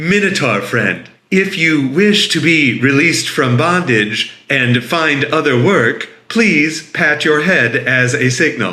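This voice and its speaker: A man puts on a robotic character voice, fairly high in pitch, with lively intonation. He speaks fairly slowly at a very even loudness, with hardly any pauses. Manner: calm, friendly.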